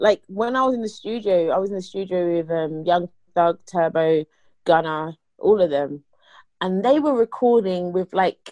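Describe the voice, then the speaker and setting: With a London accent, a woman speaks at a fairly slow pace with lively intonation. Her pitch is medium, and the sound is dry and close with no echo. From England, East London. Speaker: rapper. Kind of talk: interview.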